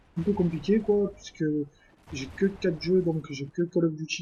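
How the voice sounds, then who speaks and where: At a very slow pace, a man with a high pitch speaks in a dark, mellow tone with fairly even intonation. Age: 20s. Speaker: gaming YouTuber. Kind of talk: casual self-introduction vlog. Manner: hesitant, many fillers.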